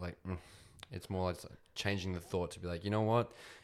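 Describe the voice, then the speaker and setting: A man with an Australian accent, very deep, low pitch and a very fast pace. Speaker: podcast host. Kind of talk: casual chat.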